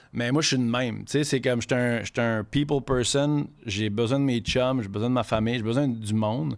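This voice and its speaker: Speaking at a moderate pace with hardly any pauses, a man is heard against a quiet background. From Quebec City, Quebec; Quebec. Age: 30s. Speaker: chef; podcast guest. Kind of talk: casual chat. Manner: animated. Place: studio. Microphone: studio mic.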